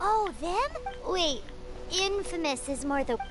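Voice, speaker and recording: Over clear music in the background, a put-on character voice at an extremely high pitch moves at a fairly slow pace. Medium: game stream. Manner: chatty, expressive.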